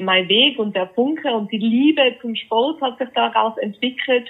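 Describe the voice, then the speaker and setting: Speaking very slowly with a Tyrolean accent, a woman shows ordinary pitch variation. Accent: Austrian (Tyrolean). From Austria, Tyrol (Innsbruck). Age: 30s. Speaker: fitness coach for grieving people. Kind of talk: interview.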